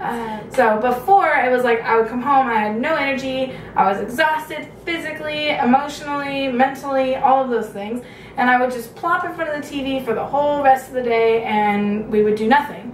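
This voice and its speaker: A woman with an American accent and high pitch speaks at a moderate pace. The recording has audible room echo and noticeable background noise. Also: ordinary pitch variation. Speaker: video blogger. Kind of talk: casual vlog update.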